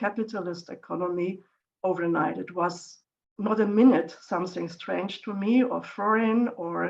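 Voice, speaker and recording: A woman with a German accent, medium pitch and fairly even intonation, at a fairly slow pace. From East Germany, small village. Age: 60s. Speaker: economist. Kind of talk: interview.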